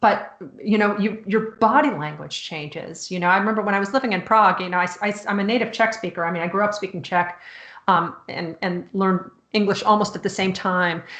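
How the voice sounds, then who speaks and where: With a Chicago accent, a woman talks fairly quickly at a medium pitch, keeping her intonation fairly even. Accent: American, Chicago. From US Midwest, Chicago. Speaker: author. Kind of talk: casual chat.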